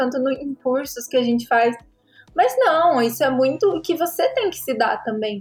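This woman's high-pitched voice has lively intonation and moves at a moderate pace. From Brazil, Paraná. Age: 20s. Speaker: graphic designer and content creator. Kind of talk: casual interview chat.

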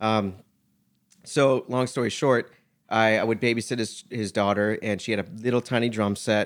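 This is a normal speaking voice with an American accent. It moves at a moderate pace with fairly even intonation. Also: man, medium pitch for a man. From South Florida, US. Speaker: music video producer. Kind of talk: casual interview chat.

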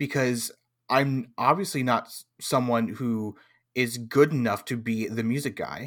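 A man with an American accent and a normal speaking voice, medium pitch, fairly even intonation, a fairly slow pace and big swings in loudness, on a very clean recording with a silent background. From California. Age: 20s. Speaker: tabletop game streamer. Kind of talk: casual chat.

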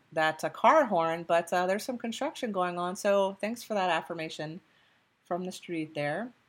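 On a very clean recording with a silent background, a woman talks at a moderate pace and medium pitch. She has an ordinary speaking voice with lively intonation. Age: 40s. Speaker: podcast host and oracle card reader. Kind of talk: guided meditation.

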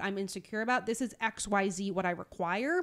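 On a very clean recording with a silent background, the voice is sing-song and animated, with lively intonation. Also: woman. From Newfoundland, Canada. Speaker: podcast co-host. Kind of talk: casual chat between co-hosts. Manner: animated, sing-songy.

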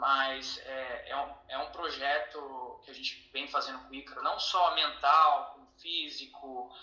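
There is audible room echo and noticeable background noise as a man talks very slowly. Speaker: parent and athlete manager. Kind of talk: interview.

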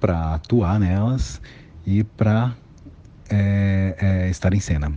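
This is a man talking. Background noise can be clearly noticed. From São Paulo, east zone (Guaianases). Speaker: actor, director and circus artist. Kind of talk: interview, personal career story.

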